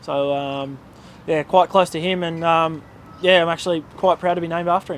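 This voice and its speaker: Fairly high in pitch, a man speaks with an Australian accent and fairly even intonation. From Australia, country New South Wales. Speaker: cricketer. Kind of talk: interview. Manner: halting.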